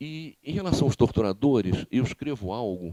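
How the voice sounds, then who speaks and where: A dark, mellow tone with lively intonation, dry and close with no echo. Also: man. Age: 60s. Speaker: former political prisoner and author. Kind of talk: lecture. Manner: halting, frequent repetitions.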